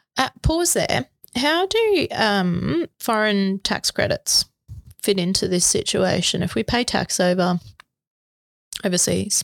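With an Australian accent, a woman speaks at a fairly slow pace and very even loudness, pausing long and often, in a dry, close sound with no echo. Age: 30s. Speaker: tax lawyer podcast co-host. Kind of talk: educational chat.

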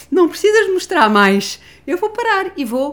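A woman talks with very wide pitch swings. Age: 60s. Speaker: family constellation therapist and author. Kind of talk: casual chat. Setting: gym.

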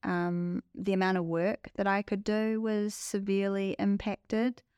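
A woman with a New Zealand accent, medium pitch and ordinary pitch variation at a fairly slow pace, in a dry, close sound with no echo on a very clean recording with a silent background. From New Zealand (Palmerston North). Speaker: migraine sufferer sharing her story. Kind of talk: interview, personal testimony.

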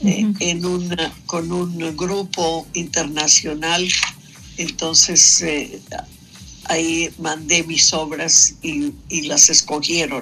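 Over background music, a woman with a fairly low voice speaks very slowly and with fairly even intonation. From Mexico City. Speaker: painter and sculptor. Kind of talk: radio interview. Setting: phone call.

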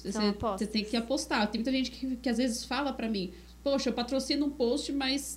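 Here is a woman's high-pitched voice. Her intonation stays fairly even. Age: 30s. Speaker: podcast co-host, digital marketer. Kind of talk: casual chat.

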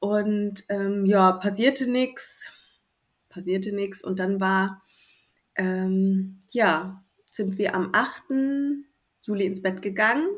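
The speech moves at a very slow pace with long, frequent pauses and fairly even intonation. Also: woman, medium pitch for a woman. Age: 30s. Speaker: new mother sharing birth story. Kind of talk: interview. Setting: remote recording in the evening.

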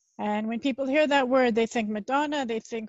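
Fairly high in pitch, a woman talks at a fairly quick pace with fairly even intonation in a normal speaking voice. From Canada. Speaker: marketing consultant and founder. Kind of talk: casual interview conversation.

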